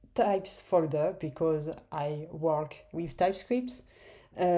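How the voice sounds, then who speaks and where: With a French accent, a woman speaks at a fairly low pitch in a dark, mellow tone with ordinary pitch variation. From France. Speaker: software developer. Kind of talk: tutorial. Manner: halting, many fillers.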